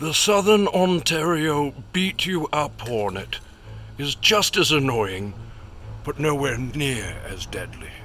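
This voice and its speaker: With music in the background, a man talks very slowly at a fairly high pitch, his voice swinging very widely up and down. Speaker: comedic nature documentary narrator. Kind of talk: parody documentary narration.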